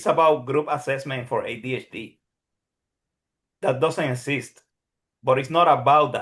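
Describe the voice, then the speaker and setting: A man with a Puerto Rican accent and a fairly high pitch speaks at a moderate pace with fairly even intonation and long, frequent pauses. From Puerto Rico. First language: Spanish. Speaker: psychologist who passed licensing exam, neuroscience teacher. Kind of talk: Q&A session testimony. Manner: halting, many repetitions.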